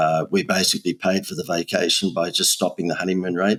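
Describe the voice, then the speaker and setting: A man with an Australian accent talks at a very fast pace in a very deep, low voice. The sound is dry and close, with no echo. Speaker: marketing agency owner. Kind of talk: podcast interview. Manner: animated.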